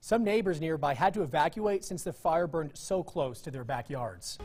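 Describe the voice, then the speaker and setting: With an unremarkable speaking voice, a man talks at a moderate pace, his fairly high pitch rising and falling in lively intonation. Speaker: news anchor. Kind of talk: TV news anchor read.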